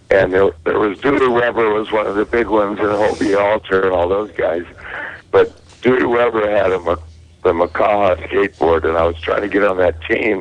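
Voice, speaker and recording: Noticeable background noise sits behind a man with an American accent. He talks at a fairly quick pace with a fairly low pitch and ordinary pitch variation. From Southern California. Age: 60s. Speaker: caller. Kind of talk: casual chat.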